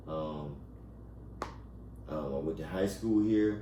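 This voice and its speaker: Amid noticeable background noise and audible room echo, a man with an American accent speaks with lively intonation. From Alabama, Montgomery. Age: 40s. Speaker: small business owner. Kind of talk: interview. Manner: halting, many fillers and repetitions.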